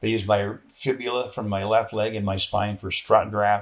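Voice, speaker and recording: With a Canadian accent, a man speaks at a moderate pace and a fairly low pitch. His intonation is monotone and flat. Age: 60s. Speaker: military veteran. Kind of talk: interview conversation. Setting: sit-down interview.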